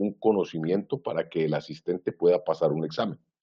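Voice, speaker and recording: At a fairly quick pace, the speaker talks with ordinary pitch variation. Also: man. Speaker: IT governance consultant. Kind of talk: webinar presentation. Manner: fast.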